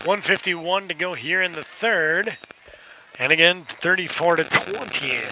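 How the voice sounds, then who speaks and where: High-pitched male speech, fairly slow and fairly even in intonation, over noticeable background noise. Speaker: play-by-play sports commentator. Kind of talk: live commentary. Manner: soft-spoken.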